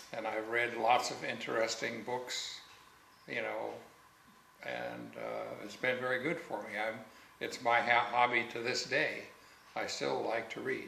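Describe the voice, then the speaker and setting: A man at a fairly slow pace with long, frequent pauses, amid noticeable background noise and audible room echo. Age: 70s. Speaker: interviewee telling life story. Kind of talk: life story interview. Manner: halting.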